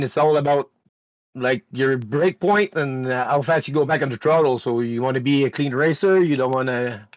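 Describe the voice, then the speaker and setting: Speaking with a French Canadian accent, a man keeps a moderate pace. His pitch varies in an ordinary way. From Quebec. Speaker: sim racing driver, race winner. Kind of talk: post-race interview. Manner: halting, many fillers.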